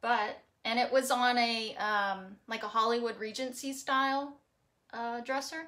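A woman talks at a fairly slow pace with a fairly high pitch and a Texas accent. Her tone is animated, bright and sharp. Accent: Texas Southern US. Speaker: furniture painter and boutique owner. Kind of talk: live painting tutorial. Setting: garage, livestream. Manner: chatty, animated. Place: workshop. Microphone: phone near.

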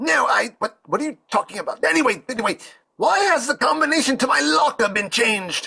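A put-on character voice, fairly high in pitch, with very wide pitch swings. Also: fairly quick pace. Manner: shrill, panicked.

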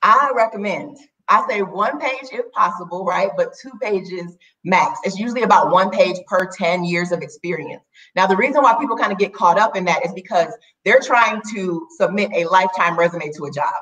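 A woman with an American accent speaks at a moderate pace. Her intonation is lively, and the background is quiet. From Minnesota. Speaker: career coach. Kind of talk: interview. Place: home room. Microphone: video call.

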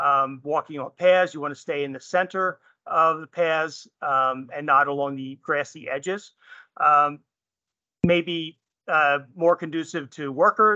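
At a fairly slow pace, the speech sits in a dry sound with no echo against a quiet background. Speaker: presenter. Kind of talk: lecture. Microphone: video call.

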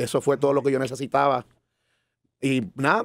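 A man speaks at a very fast pace, the sound dry with no echo and the background quiet. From Puerto Rico, San Juan. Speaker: musician; podcast guest. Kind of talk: interview. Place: studio. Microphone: studio mic.

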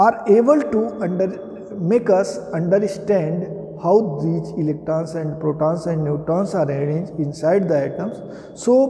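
Here a man talks at a high pitch and a moderate pace. He pauses often and at length. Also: ordinary pitch variation. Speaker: teacher. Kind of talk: lecture. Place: classroom. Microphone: camera far.

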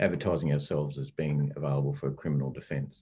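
A man speaks with an Australian accent. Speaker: investigation course instructor, former police officer; investigation course instructor. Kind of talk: hosted online forum interview. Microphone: video call.

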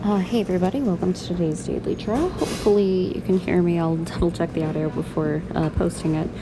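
A woman speaks at a very fast pace. Noticeable background noise runs underneath. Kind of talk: casual vlog chat. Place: station.

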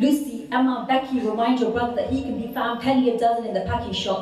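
Delivered at a very fast pace, the speech has monotone, flat intonation and audible room echo. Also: woman. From British. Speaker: spoken word poet. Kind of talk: poetry performance. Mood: impassioned, rhythmic delivery. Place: hall.

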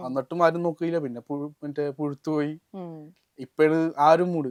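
Recorded with a dry, close sound and no echo, a man uses a plain, everyday voice, fairly high in pitch, with fairly even intonation. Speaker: rapper. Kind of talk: interview conversation.

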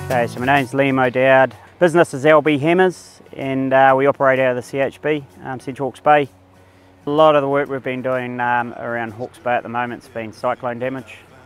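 Faint music plays in the background as a man speaks at a fairly quick pace with fairly even intonation, in a dry sound with no echo. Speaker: fencing contractor. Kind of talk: interview answer. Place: farm machine.

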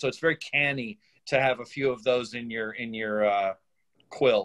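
Behind the voice, the background stays quiet. Delivery is at a moderate tempo, with pitch varying in an ordinary way. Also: man. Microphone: video call.

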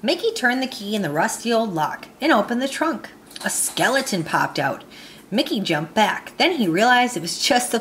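An unforced reading voice carries the whole clip.

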